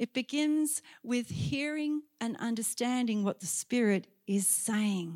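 This voice moves at a very slow pace with very wide pitch swings, in an Australian accent. The sound is dry and close, with no echo. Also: woman. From Australia, Sydney. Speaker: guest preacher. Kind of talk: sermon. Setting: church.

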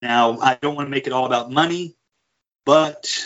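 It is a plain, everyday voice. The melody of the speech is fairly even. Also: man. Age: 30s. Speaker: military veteran, EMT. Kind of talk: casual chat. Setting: call.

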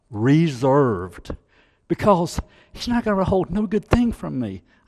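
Very wide pitch swings mark a man's fairly high voice, spoken in a Southern US accent. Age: 60s. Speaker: church elder preaching. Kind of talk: sermon. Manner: halting, repeats words.

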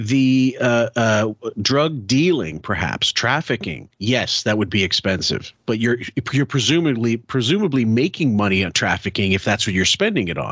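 Someone with a plain, everyday voice speaks at a moderate pace with lively intonation in a Canadian accent. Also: man, medium pitch for a man. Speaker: podcast host. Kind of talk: casual chat. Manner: casual, chatty.

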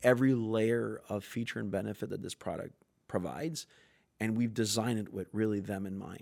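Speaking at a moderate pace with fairly even intonation, a man uses a normal speaking voice. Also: very clean recording, silent background. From Canada (French Canadian). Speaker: sales executive. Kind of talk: casual interview chat.

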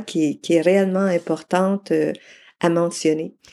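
In a Quebec accent, a woman with a fairly low, dark, mellow voice speaks at a fairly slow pace with fairly even intonation, on a very clean recording with a silent background. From Quebec, Mauricie region. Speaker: charity founder, retired guidance counsellor. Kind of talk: interview.

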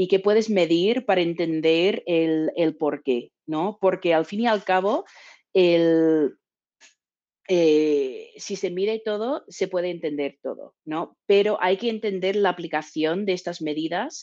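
Against a quiet background, a woman with a dark, mellow tone speaks at a very slow pace, using medium pitch and ordinary pitch variation. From Texas. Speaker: business development manager. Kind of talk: interview.

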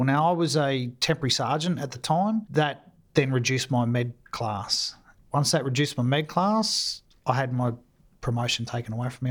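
On a very clean recording with a silent background, a man with an Australian accent talks at a medium pitch and moderate pace with ordinary pitch variation. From Australia, mainly Sydney. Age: 50s. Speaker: war veteran. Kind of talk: interview.

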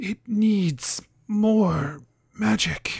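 The speaker puts on a character voice. The pitch sits fairly high. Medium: actual play. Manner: halting, formal and archaic.

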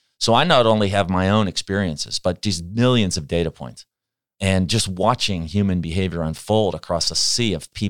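On a very clean recording with a silent background, a man with an American accent speaks at a moderate pace in a very deep, low pitch. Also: ordinary pitch variation, dry, close sound with no echo. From Pittsburgh, US. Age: 60s. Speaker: organizational behavior expert. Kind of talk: interview.

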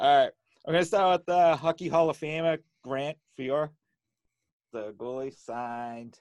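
A man with a Boston accent speaks at a fairly high pitch and a fairly slow pace, with long, frequent pauses and big swings in loudness. The recording is very clean, with a silent background and a dry, close sound with no echo. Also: ordinary pitch variation. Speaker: sports autograph collector. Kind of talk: casual chat. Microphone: good microphone, newly set up.

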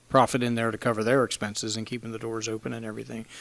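With an American accent, a man holds a medium pitch in a fairly even intonation. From Pennsylvania. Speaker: coffee roaster and business owner. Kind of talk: casual interview. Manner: halting, many fillers.

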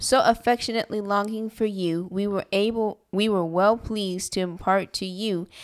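A woman's unremarkable speaking voice, medium in pitch, at a moderate pace with ordinary pitch variation. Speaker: Bible study participant. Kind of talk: group Bible study discussion.

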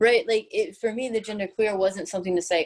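A woman speaks with ordinary pitch variation in an ordinary speaking voice. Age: 30s. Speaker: personal trainer. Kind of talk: interview.

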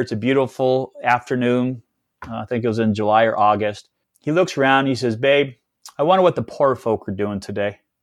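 A man speaks in an unremarkable speaking voice at a medium pitch and a moderate pace. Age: 50s. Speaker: entrepreneur and business speaker. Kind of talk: interview.

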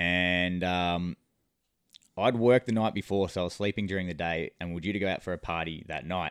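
Speaking at a fairly quick pace, a man with an Australian accent has a very deep, low pitch. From New South Wales, Australia. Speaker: coach. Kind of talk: storytelling.

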